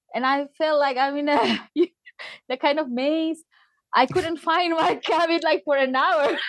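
A woman with a Spanish accent speaks in a high pitch at a fairly slow pace, with ordinary pitch variation. Her loudness stays very even, broken by long, frequent pauses. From Peru (Tacna, southern). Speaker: former cruise ship crew member. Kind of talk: casual interview, personal storytelling. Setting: remote call.

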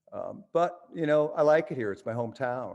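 A man talks at a moderate pace in an ordinary speaking voice with ordinary pitch variation. The background is quiet. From western New York, US. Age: 60s. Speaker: rock musician. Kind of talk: interview.

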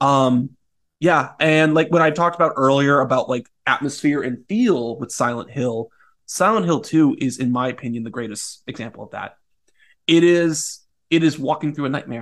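A man with a fairly high pitch and ordinary pitch variation speaks at a moderate pace, his loudness swinging widely against a quiet background. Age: 30s. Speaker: pop culture critic. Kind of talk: casual chat.

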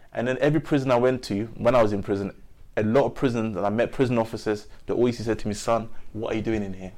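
Speaking at a very fast pace, a man uses a medium pitch and fairly even intonation. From North London. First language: not English. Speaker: reformed gang member, youth speaker. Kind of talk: interview testimony.

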